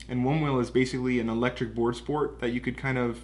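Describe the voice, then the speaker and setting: A man speaks with a Californian accent. His intonation is monotone and flat. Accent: Californian American English. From US West Coast, Southern California. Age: 20s. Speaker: business owner. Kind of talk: casual interview.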